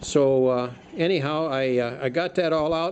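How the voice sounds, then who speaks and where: A man speaks with lively intonation. Noticeable noise can be heard in the background. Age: 70s. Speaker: DIY video maker, lawn equipment owner. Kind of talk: casual tutorial. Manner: halting, many fillers.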